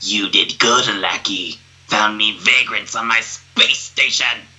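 The pace is fairly slow. A man uses a put-on character voice, medium in pitch. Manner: gloating, commanding.

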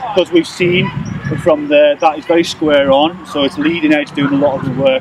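A man speaks at a fairly quick pace, with ordinary pitch variation. The sound is dry with no echo, and there is noticeable background noise. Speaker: golf coach. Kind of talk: tutorial. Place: open country.

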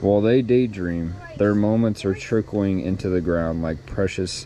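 Light background noise can be heard. The sound is dry, with no echo. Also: man. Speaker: vlogger. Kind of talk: reading aloud a devotional. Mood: calm, reflective. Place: garden. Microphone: phone near.

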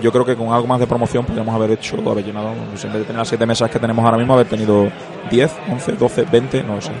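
A man talks at a very fast pace and a medium pitch. Crowd noise can be heard behind him. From Spain, Seville (Andalusia). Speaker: board game company marketing manager. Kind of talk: interview. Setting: convention floor.

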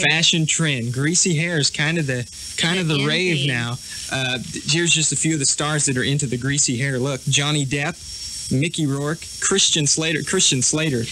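A man with an American accent speaks in an upbeat tone at a moderate pace. Light background noise is present. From United States. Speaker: radio DJ. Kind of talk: radio DJ aircheck. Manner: upbeat, casual. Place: studio. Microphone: old recording.

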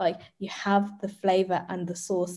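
A woman's dark, mellow voice in a London accent, over a quiet background. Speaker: arts and youth engagement producer; guest. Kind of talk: panel discussion. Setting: video call. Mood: warm, friendly. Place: home room. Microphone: webcam.

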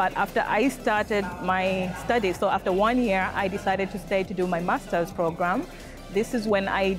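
A woman at a moderate pace with fairly even intonation, a dry sound with no echo, and clear music in the background. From Tanzania. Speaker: project manager. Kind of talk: interview answer. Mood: calm, thoughtful. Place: hall.

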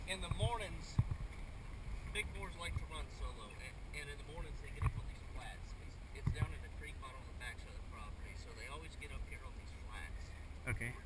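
Over loud background noise, a man's speech moves at a fairly quick pace. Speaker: hunting guide. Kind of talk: casual conversation. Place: car.

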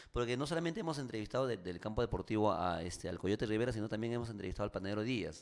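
With a quiet background, a man at fairly low pitch speaks very fast with lively intonation and hardly any pauses. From Peru. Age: 40s. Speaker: radio host and actor; radio host, actor. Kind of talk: casual interview. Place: studio. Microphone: studio mic.

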